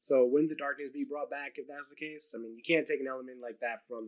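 In an American accent, a man talks at a very fast pace against a quiet background. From New Jersey. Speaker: YouTube channel host. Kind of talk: casual interview chat. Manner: halting, many fillers. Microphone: video call.

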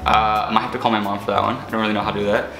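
A man speaks at a fairly low pitch. Clear music plays in the background, and audible room echo is present. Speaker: vlogger. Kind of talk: casual vlog chat. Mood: playful, joking. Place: kitchen. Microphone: camera far.

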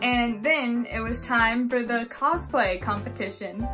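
A woman talks very slowly while clear music sounds behind her. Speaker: vlogger. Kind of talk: casual vlog chat. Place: home room. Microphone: phone near.

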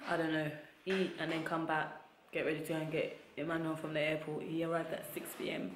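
Over light background noise and audible room echo, a woman with a very deep, low pitch talks very fast in a monotone, flat intonation. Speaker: travel vlogger. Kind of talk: casual vlog chat. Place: home room. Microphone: phone near.

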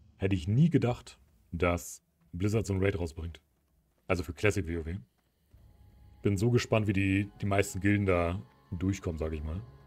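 A man speaks at a moderate pace with a very deep, low pitch and ordinary pitch variation. Long, frequent pauses break his speech while music plays in the background. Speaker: gaming streamer. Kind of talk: live gameplay commentary. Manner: animated.

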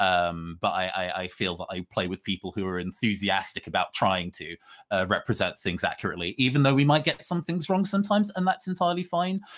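A man talks in a British accent at a fairly quick pace. He hardly pauses at all. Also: quiet background. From UK, British Caribbean heritage. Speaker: RPG writer and actual-play performer; panelist. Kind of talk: panel discussion. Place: home room.

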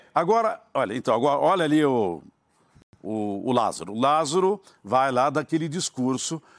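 Moving at a fairly slow pace, a man's voice swings very widely in pitch. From Brazil. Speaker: football commentator. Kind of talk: heated debate. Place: studio. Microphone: lapel.

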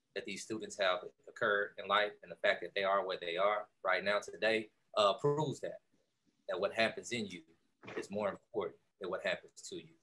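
With an American accent, a man speaks at a moderate pace as music plays in the background. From Texas, Houston. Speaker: entrepreneur, keynote speaker. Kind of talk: motivational keynote speech. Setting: video call. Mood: warm, encouraging. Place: home room. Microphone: video call.

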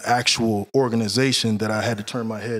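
At a fairly quick pace, a man with an American accent talks at a medium pitch in an ordinary speaking voice. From Central Florida. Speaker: bodyguard. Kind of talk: casual interview.

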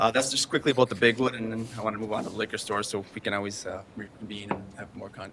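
A man's fairly low voice at a very fast pace, with fairly even intonation, big swings in loudness and noticeable background noise. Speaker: liquor store manager. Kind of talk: public meeting presentation. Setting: city council meeting. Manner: hesitant, many fillers.

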